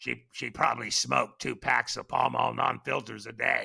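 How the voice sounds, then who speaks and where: A man puts on a character voice that is raspy and very deep, at a moderate pace with big swings in loudness. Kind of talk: heavy smoker's rasp.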